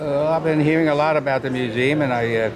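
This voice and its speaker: A man at a fairly quick pace with fairly even intonation and music in the background. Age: 80s+. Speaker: war veteran. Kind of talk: interview answer. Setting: event venue. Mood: reflective storytelling. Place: hall. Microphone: phone near.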